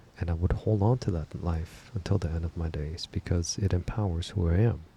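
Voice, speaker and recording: Soft-spoken and somewhat breathy, a man speaks at a fairly quick pace with a very deep, low pitch, ordinary pitch variation and a dark, mellow tone. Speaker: reflection channel host. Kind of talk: spoken reflection.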